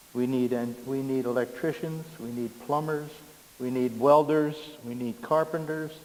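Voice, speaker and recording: This man's voice sits at a medium pitch. It shows ordinary pitch variation. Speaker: citizen speaking at public meeting. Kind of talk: public comment at council meeting. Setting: council meeting with audience. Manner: loud.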